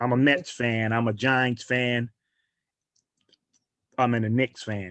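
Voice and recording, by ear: A man talks at a slow pace, his pitch barely moving. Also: medium pitch for a man, fairly bright tone.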